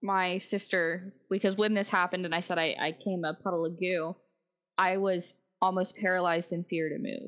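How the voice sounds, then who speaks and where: At a moderate pace, a woman of medium pitch speaks with fairly even intonation. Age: 30s. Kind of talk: interview.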